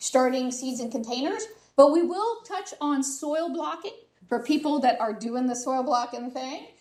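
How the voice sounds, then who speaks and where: Loud and high-pitched, a woman talks at a moderate pace with audible room echo. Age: 50s. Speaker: master gardener giving a talk. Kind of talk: lecture. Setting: hybrid meeting room with live audience and webcast.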